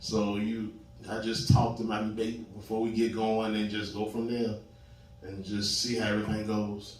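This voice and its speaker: A man with an American accent speaks in a fairly low, monotone, flat voice at a moderate pace, with audible room echo and music in the background. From Richmond, Virginia. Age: 40s. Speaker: panel guest. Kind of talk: casual chat.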